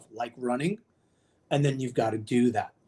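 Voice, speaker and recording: A man with an unremarkable speaking voice. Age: 50s. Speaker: kettlebell and nutrition coach. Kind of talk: casual interview.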